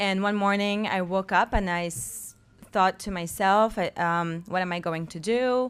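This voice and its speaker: A woman with a French accent speaks at a fairly slow pace. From France. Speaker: film festival founder. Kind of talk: panel discussion.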